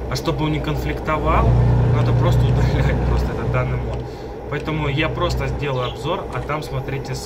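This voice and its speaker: A man speaks at a moderate pace. Loud background noise fills the clip. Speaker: gaming mod reviewer. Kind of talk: casual gameplay commentary. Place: home room. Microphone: webcam.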